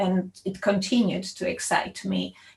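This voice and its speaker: A somewhat breathy woman's voice at a medium pitch. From Poland. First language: Polish. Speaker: computer science professor. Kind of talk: panel discussion. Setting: video call.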